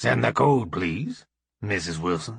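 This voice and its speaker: A man puts on a raspy, gruff character voice at a very deep, low pitch. His pitch swings very widely. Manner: authoritative.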